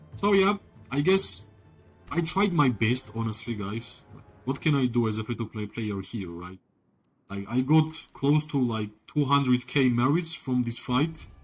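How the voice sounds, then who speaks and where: Music plays in the background as a man talks at a fairly slow pace. His medium pitch carries lively intonation. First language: not English. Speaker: gaming streamer. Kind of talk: live gameplay commentary. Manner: animated.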